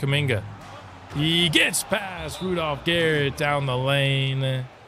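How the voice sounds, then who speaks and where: A man talks very slowly at a fairly high pitch. Noticeable background noise and audible room echo are present. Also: ordinary pitch variation. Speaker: gaming streamer. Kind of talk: live gameplay commentary. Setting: live stream. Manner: animated.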